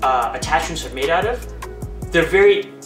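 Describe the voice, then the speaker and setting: Music plays clearly in the background. A man talks at a fairly quick pace. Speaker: barber reviewing a product. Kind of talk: product review tutorial. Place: home room.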